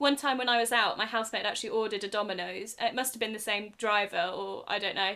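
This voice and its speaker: In an English accent, a woman speaks at a very fast pace with hardly any pauses, using a fairly high pitch and fairly even intonation. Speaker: podcast co-host. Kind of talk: casual chat.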